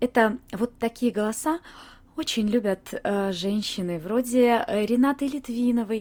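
A woman speaks at a fairly slow pace. Her pitch is fairly high. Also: ordinary pitch variation. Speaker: voice coach and podcaster. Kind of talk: educational monologue, podcast lecture. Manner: animated, lively.

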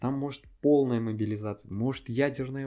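The man's voice sits at a medium pitch with a dark, mellow tone. His intonation is fairly even, and the background is quiet. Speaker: podcast co-host. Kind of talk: casual chat.

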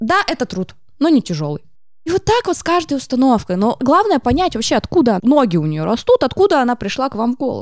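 A woman speaks very fast at a high pitch, her voice swinging very widely in pitch. The recording is very clean, with a silent background. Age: 30s. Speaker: psychologist, art therapist. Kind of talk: casual interview chat. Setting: podcast studio. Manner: animated.

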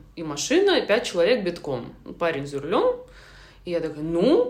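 With audible room echo, a woman speaks at a moderate pace. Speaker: screenwriter, former TV producer. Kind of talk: casual interview chat.

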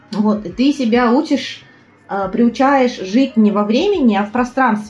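Her voice sits fairly high, with normal pitch movement. Clear background noise is audible behind the woman. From Buryatia, Ulan-Ude. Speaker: tour guide. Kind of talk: casual chat. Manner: animated.

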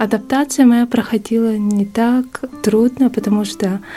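A woman with a fairly high pitch speaks at a fairly slow pace with fairly even intonation over noticeable background noise. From Yakutia, Russia (Yakutsk). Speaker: expat office worker and former graduate student. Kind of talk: interview.

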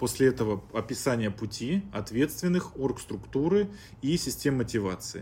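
Lively intonation marks this man's medium-pitched, dark, mellow voice. He talks at a moderate pace with vocal fry. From Chelyabinsk, Russia. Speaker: startup founder and business consultant. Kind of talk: podcast interview, business talk.

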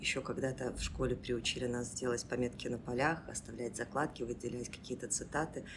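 Her very deep, low voice moves at a fairly quick pace with monotone, flat intonation and hardly any pauses. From Belarus, Mozyr. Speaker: school principal and English teacher. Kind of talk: casual interview. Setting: improvised studio.

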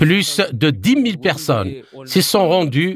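Very wide pitch swings and vocal fry mark this delivery at a very slow pace. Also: man. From Zimbabwe. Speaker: activist. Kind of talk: interview.

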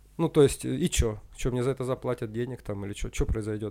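A man races through his words at a very fast pace on a very clean recording with a silent background. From northern Russia (Usinsk, Komi). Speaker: karate champion and coach. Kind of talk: casual interview chat. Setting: sports camp by a lake.

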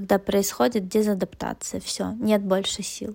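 A woman's voice carries a dark, mellow tone at a fairly high pitch, with ordinary pitch variation. She speaks at a fairly slow pace. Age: 30s. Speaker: psychologist. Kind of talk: casual interview.

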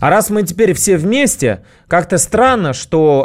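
The recording is very clean, and the background is silent. A man talks at a very slow pace. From Russia, St Petersburg and Moscow outskirts. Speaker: radio host. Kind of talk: casual radio monologue.

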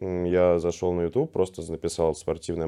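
Behind a voice of dark, mellow tone, the background stays quiet. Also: man. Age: 20s. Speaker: professional mafia player and streamer. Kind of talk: casual interview.

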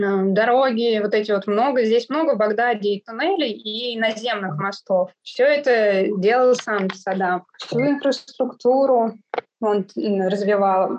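A woman speaks at a very slow pace. Her voice is fairly high, with ordinary pitch variation. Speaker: Russian expat living in Iraq. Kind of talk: interview conversation.

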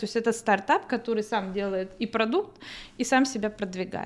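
A woman with an ordinary speaking voice speaks at a fairly high pitch with ordinary pitch variation. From northern Kazakhstan. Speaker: artist. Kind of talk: interview.

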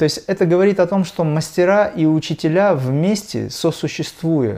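A man's voice, dark and mellow in tone, with ordinary pitch variation. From Dagestan, Russia. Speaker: kriya yoga teacher and musician. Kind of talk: spiritual conversation.

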